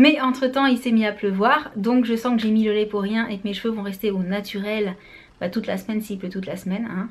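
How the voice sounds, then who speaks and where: A woman with a fairly high pitch speaks at a fairly quick pace, her intonation fairly even. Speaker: beauty vlogger, mother. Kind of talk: casual vlog. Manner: fast.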